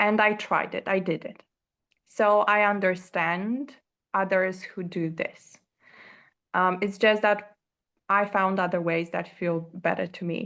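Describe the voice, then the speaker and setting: A woman speaks with a non-native accent and fairly even intonation. Long, frequent pauses break up her speech. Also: medium pitch for a woman, fairly slow pace, quiet background. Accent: non-native English accent, noticeable. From Romania. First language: Romanian. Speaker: course creator. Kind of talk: interview. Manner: halting, many fillers.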